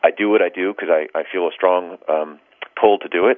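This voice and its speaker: The voice is a man's, with an American accent. Noticeable background noise runs through the recording. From New York City. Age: 40s. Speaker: photographer. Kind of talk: interview. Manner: hesitant with fillers.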